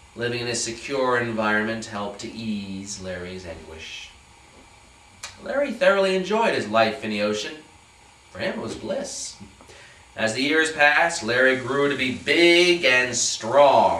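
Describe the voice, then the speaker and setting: Noticeable background noise sits behind a man who speaks at a fairly slow pace with very wide pitch swings. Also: medium pitch for a man, big swings in loudness. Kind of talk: staged story reading. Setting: live performance.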